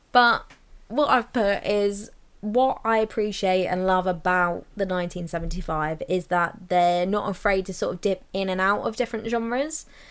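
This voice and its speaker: Speaking at a fairly slow pace, a woman talks with a southern English accent. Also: medium pitch for a woman, ordinary pitch variation. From southern England, near Brighton. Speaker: podcast co-host. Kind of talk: casual chat. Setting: in person, together.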